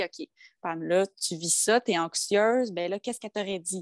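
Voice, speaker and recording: A woman with an ordinary speaking voice talks at a medium pitch and a moderate pace with ordinary pitch variation. The sound is dry and close with no echo. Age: 20s. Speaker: social worker. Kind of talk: testimony.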